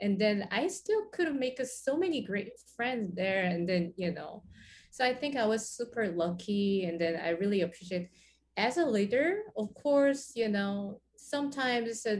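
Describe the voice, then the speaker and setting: Her voice is somewhat breathy, and this woman uses lively intonation at a fairly high pitch. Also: moderate pace. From South Korea. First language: Korean. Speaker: jazz pianist and bandleader. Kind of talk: interview. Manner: halting, many fillers.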